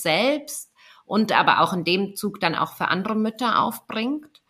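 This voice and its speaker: The tone is bright and sharp, and the pace is fairly slow. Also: woman. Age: 30s. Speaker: doula. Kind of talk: casual chat. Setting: video call.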